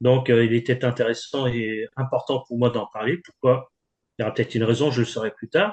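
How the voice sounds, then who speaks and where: At a fairly quick pace, a man speaks at medium pitch with ordinary pitch variation and big swings in loudness. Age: 60s. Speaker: composer and author. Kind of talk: interview. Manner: halting.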